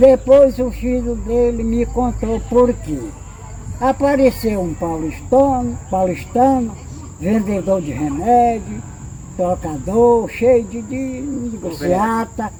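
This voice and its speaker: Noticeable background noise behind a man's very slow pace. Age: 80s+. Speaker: elderly local resident, retired rural worker. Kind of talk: interview, oral history. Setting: at his home.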